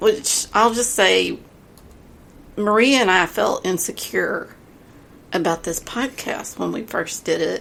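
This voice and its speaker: At a very slow pace, a woman speaks with long, frequent pauses. She has a strong Texas accent. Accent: big Texas. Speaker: podcast co-host. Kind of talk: casual chat.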